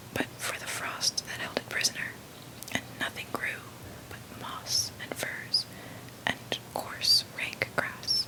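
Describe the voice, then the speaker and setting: Someone whispers at a fairly slow pace against noticeable background noise. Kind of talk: whispered audiobook reading of a classic novel, ASMR. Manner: whispered.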